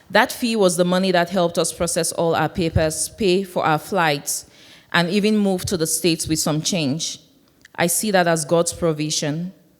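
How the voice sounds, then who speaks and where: A woman with a Cameroonian accent speaks at a moderate pace, her fairly low voice keeping a fairly even intonation. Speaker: church member sharing testimony. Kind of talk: testimony.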